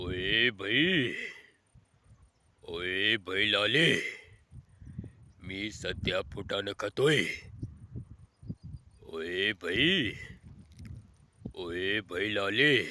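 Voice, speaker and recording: A man's put-on character voice, fairly low in pitch and very slow in pace. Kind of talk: Marathi slang address, showy. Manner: talking with mouth full, swaggering.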